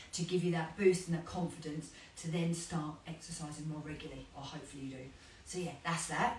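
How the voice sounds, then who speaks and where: A woman with a fairly low pitch speaks at a very fast pace, with audible room echo and noticeable background noise. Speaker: fitness instructor. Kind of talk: casual chat while exercising. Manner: animated.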